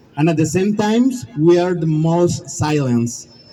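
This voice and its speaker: Someone with a Spanish accent speaks at a fairly slow pace, using ordinary pitch variation. There is audible room echo and noticeable background noise. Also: man. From Mexico. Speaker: survivor advocate. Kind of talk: rally speech.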